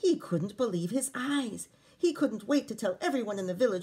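The reading aloud is plain, with intonation that rises and falls in a lively way.

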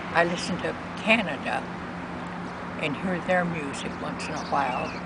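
Speech moves at a moderate pace in a dry setting with no echo. Loud background noise runs underneath. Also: woman. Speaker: interviewee. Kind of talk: interview answer. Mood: warm, reminiscing. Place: garden. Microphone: camera far.

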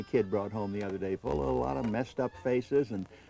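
Over faint music in the background, someone talks at a very fast pace, the sound dry with no echo. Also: man. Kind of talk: interview answer. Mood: jovial storytelling. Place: home room.

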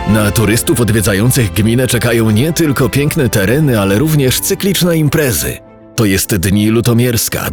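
A man's medium-pitched voice, lively in intonation and moderate in pace, with music in the background. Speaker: promotional film narrator. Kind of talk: promotional documentary narration.

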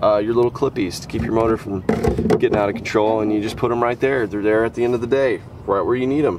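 A man at a fairly quick pace, fairly even intonation, dry sound with no echo, and noticeable background noise. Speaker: fishing video creator. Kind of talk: casual vlog chat. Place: open country. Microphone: phone near.

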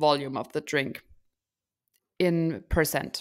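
A woman speaks with a German accent. The background is quiet. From Germany. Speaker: podcast co-host. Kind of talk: casual chat. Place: home room. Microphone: studio mic.

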